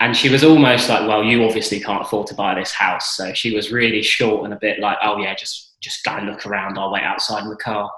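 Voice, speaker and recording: Speaking in a southern English accent, a man talks at a fairly quick pace with hardly any pauses and a fairly low pitch, with audible room echo around him. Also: fairly even intonation. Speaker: property investor. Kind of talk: interview.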